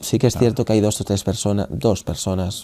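With a dark, mellow tone and fairly low pitch, a man talks at a moderate pace in a very clean recording with a silent background. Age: 20s. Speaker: anti-bullying activist. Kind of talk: interview testimony.

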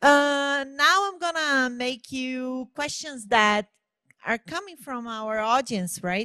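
A woman's raised, projected voice with a Portuguese accent, high-pitched, bright and sharp in tone, with lively intonation at a very slow pace against a quiet background. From Brazil. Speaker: event moderator. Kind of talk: stage interview moderation. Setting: stage at an innovation event. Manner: halting. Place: stage. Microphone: handheld.

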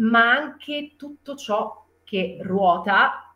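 Audible room echo around a woman's voice of ordinary pitch variation. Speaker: voice actor. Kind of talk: interview answer. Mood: cheerful, animated. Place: home room. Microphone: video call.

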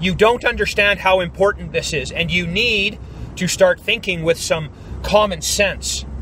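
Light background noise behind a man's dry, echo-free voice. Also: fairly slow pace. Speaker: YouTube vlogger. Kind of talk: angry rant; vlog monologue. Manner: forceful, emphatic, blunt. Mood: upset, worried, indignant. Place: car. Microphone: phone near.

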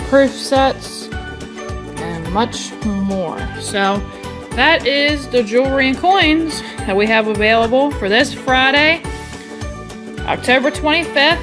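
Over clear background music, the speaker goes at a very slow pace with long, frequent pauses. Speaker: auction house presenter. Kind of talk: auction preview presentation to camera. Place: hall. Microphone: phone near.

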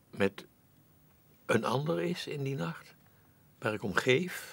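A man speaks at a very slow pace. His pitch swings very widely. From Netherlands. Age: 80s+. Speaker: actor. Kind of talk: interview answer. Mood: reflective, musing. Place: studio.

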